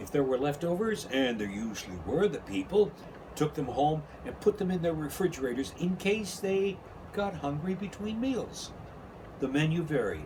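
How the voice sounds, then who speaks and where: Very wide pitch swings from a man over noticeable background noise. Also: fairly high pitch for a man, moderate pace. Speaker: radio host. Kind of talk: children's book read-aloud.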